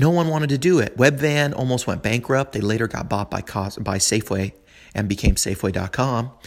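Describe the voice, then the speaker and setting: This man talks at a fairly quick pace in an American accent, with a medium pitch and lively intonation. The recording is very clean, with a silent background. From US West Coast, San Francisco. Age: 30s. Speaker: podcast host. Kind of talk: casual monologue. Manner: rambling, halting with fillers.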